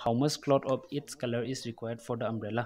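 With monotone, flat intonation, the man's voice sits at a medium pitch. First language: Meitei (Manipuri) (speaking Hindi). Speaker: math tutor. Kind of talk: lecture.

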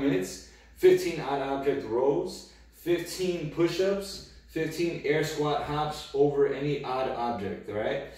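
A man talks in a room with strong echo. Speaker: fitness coach. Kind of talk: tutorial. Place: empty room. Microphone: camera far.

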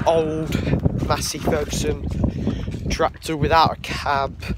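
Over loud background noise, a man speaks in a dry sound with no echo. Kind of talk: casual vlog chat. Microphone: phone near.

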